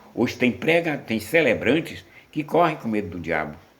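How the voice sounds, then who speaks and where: The pitch swings very widely. Room echo is audible. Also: man. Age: 70s. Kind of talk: sermon.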